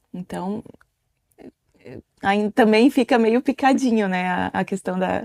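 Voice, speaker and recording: Long pauses come often as a woman talks very slowly. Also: ordinary pitch variation, dry, close sound with no echo. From Italy. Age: 30s. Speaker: podcast co-host, mother. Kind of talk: casual chat.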